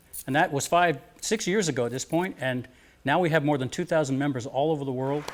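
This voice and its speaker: With crowd noise in the background, a man talks at a very fast pace, his pitch fairly high with ordinary variation. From US South (Alabama/Florida panhandle), moved to Rhode Island at ten. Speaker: musician. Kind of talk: interview.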